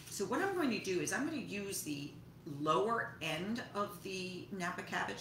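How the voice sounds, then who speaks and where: A woman's voice amid noticeable background noise. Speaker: home cooking host. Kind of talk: cooking tutorial. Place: kitchen. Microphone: camera far.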